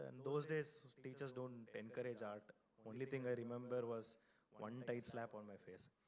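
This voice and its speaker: The speaker has a Kannada accent. The pace is fairly quick, with ordinary pitch variation. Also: man. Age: 40s. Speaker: design studio founder and speaker. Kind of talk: keynote talk. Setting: stage with audience. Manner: loud.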